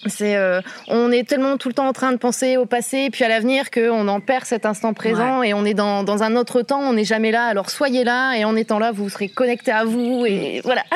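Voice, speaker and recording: A woman with a fairly high voice talks with very even loudness and hardly any pauses over noticeable background noise. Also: fairly even intonation, moderate pace. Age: 20s. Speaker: dog behaviourist. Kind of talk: casual interview chat. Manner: hesitant, many fillers.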